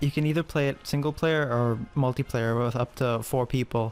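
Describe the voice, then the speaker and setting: This man's voice sits at a medium pitch. His intonation is fairly even. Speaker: gaming video commentator. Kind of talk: casual game review commentary. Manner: monotone.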